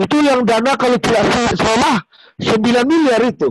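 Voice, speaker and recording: An extremely high-pitched man's voice with lively intonation, at a fairly slow pace, in a dry, close sound with no echo. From Berastagi, Karo, North Sumatra, Indonesia. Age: 40s. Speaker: local community figure. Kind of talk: interview.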